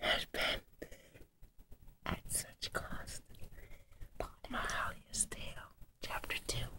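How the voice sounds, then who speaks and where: The speech is a whisper at a very slow pace. Long pauses come often. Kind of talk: whispered book reading. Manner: whispered, soft.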